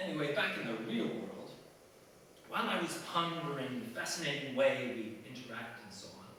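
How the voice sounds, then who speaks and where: Loudness swings widely as a man talks at a moderate pace with lively intonation. Noticeable background noise runs underneath. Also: fairly high pitch for a man. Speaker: cartoonist, writer and performer. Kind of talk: casual anecdotal storytelling to a live audience.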